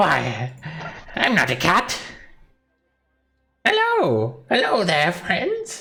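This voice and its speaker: A put-on character voice at middle pitch moves at a very slow pace. Long, frequent pauses break it up, with faint music in the background. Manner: innocent, feigning.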